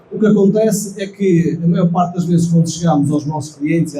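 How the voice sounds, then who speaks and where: Against noticeable background noise, a man talks at a very fast pace in a high pitch with fairly even intonation. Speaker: company engineering director. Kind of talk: conference presentation.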